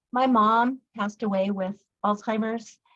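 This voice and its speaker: A woman talks at a fairly slow pace in a somewhat breathy voice. Her pitch is fairly high and her intonation fairly even. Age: 60s. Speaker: product user sharing testimony. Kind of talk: testimony.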